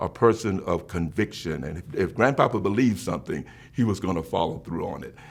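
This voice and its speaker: A man talks at a fairly quick pace. He has a South Carolina accent. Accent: Southern US (South Carolina). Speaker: bishop. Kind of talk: interview answer.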